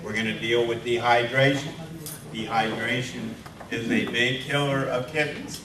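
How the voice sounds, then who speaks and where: Medium male pitch with fairly even intonation at a moderate pace, amid audible room echo and noticeable background noise. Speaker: veterinary lecturer. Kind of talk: lecture.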